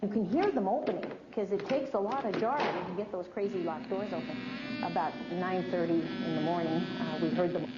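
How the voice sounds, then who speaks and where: Amid noticeable background noise, a woman of medium pitch talks at a fairly quick pace with lively intonation and hardly any pauses. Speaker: museum director. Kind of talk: interview answer.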